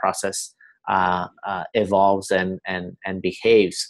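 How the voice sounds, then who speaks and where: A man with a slight Spanish accent. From Spain, Barcelona. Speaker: company co-founder. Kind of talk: webinar presentation. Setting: online webinar. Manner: halting, many fillers and repetitions.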